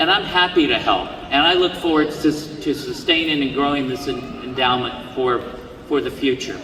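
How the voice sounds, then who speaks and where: Noticeable background noise and audible room echo surround the recording. A man speaks at a fairly high pitch with fairly even intonation. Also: moderate pace. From US. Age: 60s. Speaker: commencement speaker, honorary degree recipient. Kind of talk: commencement speech. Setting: stage with audience. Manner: halting, repeats words.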